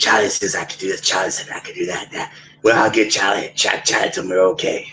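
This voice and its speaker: A man delivers a raspy, put-on character voice at a very fast pace. His loudness swings widely. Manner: mocking.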